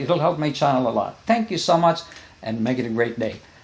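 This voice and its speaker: He talks at a fairly quick pace. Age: 70s. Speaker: vlogger. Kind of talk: casual vlog commentary.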